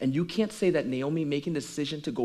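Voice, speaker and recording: Against a quiet background, a man talks with lively intonation at a fairly high pitch. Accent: Caribbean. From Caribbean. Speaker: pastor. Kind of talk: sermon.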